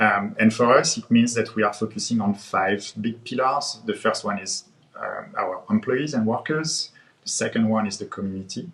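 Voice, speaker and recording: Speaking with a French accent, a man keeps a moderate pace, a medium pitch and ordinary pitch variation. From France. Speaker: head of growth marketing. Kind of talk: panel discussion. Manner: hesitant, many fillers.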